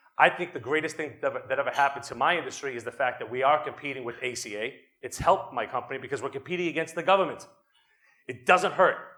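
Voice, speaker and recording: A man with a Boston accent talks at a very fast pace with a fairly high pitch. His pitch variation is ordinary, and his loudness swings widely. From Boston, Massachusetts. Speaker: attorney and company executive, conference speaker. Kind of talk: conference talk. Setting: stage with audience. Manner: animated.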